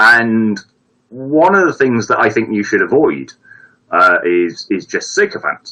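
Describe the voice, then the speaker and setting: A man with a Brummie accent. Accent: mild Brummie, fairly well spoken. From Birmingham, England. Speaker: viewer giving advice on a live stream. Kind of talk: casual chat. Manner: halting, many repetitions. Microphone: bad setup.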